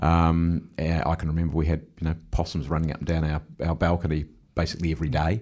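Against a quiet background, a man with a New Zealand accent speaks very fast in a very deep, low voice with monotone, flat intonation. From New Zealand, Wellington. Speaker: mayor and election candidate. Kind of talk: radio interview. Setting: radio studio.

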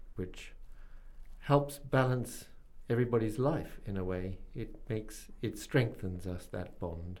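This is a man talking. He has a New Zealand accent. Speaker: radio host. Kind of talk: interview.

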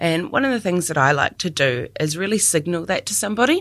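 A woman speaks with a New Zealand accent at a moderate pace. Her intonation is lively, and the recording is very clean with a silent background. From New Zealand, Dunedin. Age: 30s. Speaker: communications advisor. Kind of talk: personal reflection talk.

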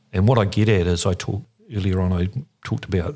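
The speaker talks at a fairly quick pace with a New Zealand accent. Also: man. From New Zealand, Christchurch. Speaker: regional councillor. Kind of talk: interview.

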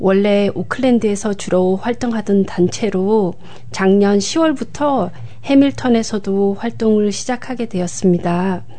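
A woman talks at a very slow pace with medium pitch, ordinary pitch variation and very even loudness. Background noise is noticeable. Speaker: community coordinator and Korean language lecturer. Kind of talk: radio interview. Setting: studio.

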